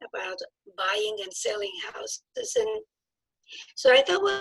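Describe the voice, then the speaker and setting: Using lively intonation, a woman speaks at a moderate pace. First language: not English; English is her third language. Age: old. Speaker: nutrition and alignment practitioner, new real estate licensee. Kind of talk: casual interview. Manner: halting, many fillers and restarts.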